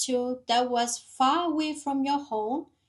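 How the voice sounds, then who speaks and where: In a non-native accent, a woman with a high pitch speaks at a very slow pace against a quiet background. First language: not English. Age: 30s. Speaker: nurse preparing for English exam, vlogger. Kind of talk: study vlog reading out AI feedback.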